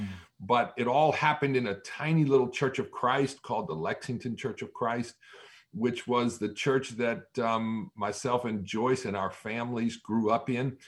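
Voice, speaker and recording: A man speaks in an ordinary speaking voice at a moderate pace, with medium pitch and ordinary pitch variation, on a very clean recording with a silent background. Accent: American. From Massachusetts, US. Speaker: pastor. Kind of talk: interview.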